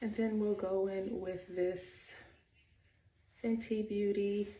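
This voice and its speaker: A soft-spoken woman whispers at a very slow pace, with audible room echo around her. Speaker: beauty and fashion vlogger. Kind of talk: get-ready-with-me tutorial. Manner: soft, near whisper; casual, chatty.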